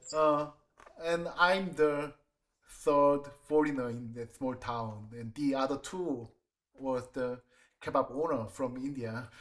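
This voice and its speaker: Very slow speech in a Korean accent, with long, frequent pauses and ordinary pitch variation. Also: man, fairly high pitch for a man. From South Korea, Seoul. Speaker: designer and planner. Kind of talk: job interview. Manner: halting.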